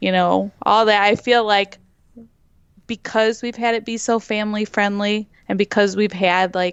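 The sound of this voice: A woman at medium pitch with a clear, smooth tone, little pitch movement and a fairly slow pace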